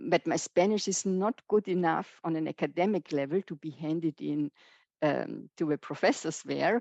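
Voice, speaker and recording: A woman with a German accent, fairly low in pitch with a dark, mellow tone, at a moderate pace with ordinary pitch variation over a quiet background. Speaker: professor. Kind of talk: lecture. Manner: halting, many fillers.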